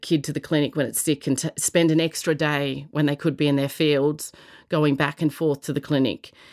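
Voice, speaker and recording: Delivered at a moderate pace with an Australian accent, the speech is captured on a very clean recording with a silent background and a dry, close sound with no echo. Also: woman. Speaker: social entrepreneur. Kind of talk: interview answers.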